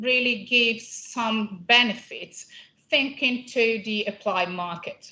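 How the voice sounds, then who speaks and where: A woman with an Italian accent speaks at a fairly slow pace in a high, bright and sharp voice with ordinary pitch variation. Audible room echo surrounds her. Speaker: company scientist presenting at a conference. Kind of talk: conference presentation. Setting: conference room with audience. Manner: hesitant, many fillers.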